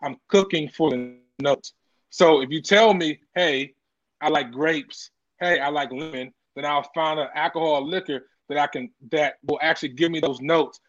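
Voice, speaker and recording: Over a quiet background, a man with a fairly high pitch and an unremarkable speaking voice talks at a moderate pace with fairly even intonation. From Washington DC area. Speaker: chef. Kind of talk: casual chat.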